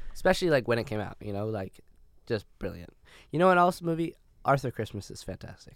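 A man in a Canadian accent, medium pitch, very fast pace, very wide pitch swings and big swings in loudness, in a very clean recording with a silent background. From Canada. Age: 20s. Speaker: podcast co-host. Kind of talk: casual chat.

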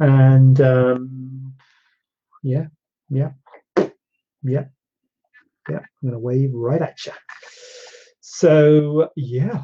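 This man talks at a very slow pace in a medium pitch. His voice is somewhat breathy. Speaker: plastic surgeon hosting a Q&A show. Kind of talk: live-streamed Q&A, casual chat. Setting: live stream on social media with green screen. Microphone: no microphone on Instagram, device audio only.

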